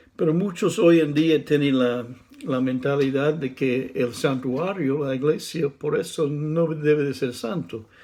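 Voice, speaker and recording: A man's fairly high voice, dark and mellow in tone, fairly slow, with ordinary pitch variation and audible room echo. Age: 60s. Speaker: preacher. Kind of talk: sermon. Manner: halting.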